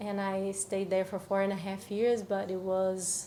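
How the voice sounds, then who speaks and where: With a Portuguese accent, a woman speaks at a fairly slow pace and a medium pitch. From Brazil. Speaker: cacao ceremony facilitator. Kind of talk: podcast interview. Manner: halting.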